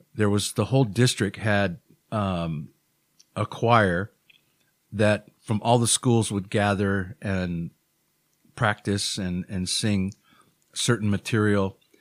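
A man's very slow, fairly low voice in a Hawaiian accent, with fairly even intonation and long, frequent pauses, in a very clean recording with a silent background and a dry, close sound with no echo. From Hawaii (Honolulu, Oahu). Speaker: musician in addiction recovery. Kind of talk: interview. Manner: halting.

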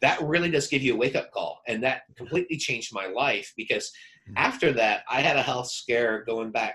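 Bright and sharp in tone, a man speaks at a moderate pace and medium pitch with ordinary pitch variation. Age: 40s. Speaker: author and publishing consultant. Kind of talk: interview.

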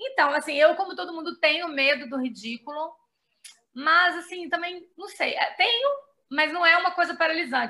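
A raised, projected voice carries a bright, sharp tone. The intonation is lively and the pace moderate. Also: woman. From Brazil, Belo Horizonte, Minas Gerais. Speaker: journalist and writer. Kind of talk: casual interview.

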